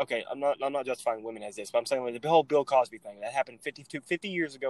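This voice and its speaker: A man talks at a very fast pace in a medium pitch, with hardly any pauses, ordinary pitch variation and big swings in loudness, in a dry, close recording with no echo. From Texas. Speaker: podcast co-host. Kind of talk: casual chat.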